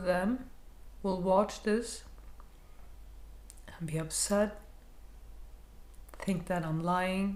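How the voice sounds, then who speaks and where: Quietly, a woman with a medium pitch speaks at a very slow pace, with long, frequent pauses and audible room echo. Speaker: counselor sharing personal experience. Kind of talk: personal vlog monologue. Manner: hesitant, repeating words; lowered, quieter voice.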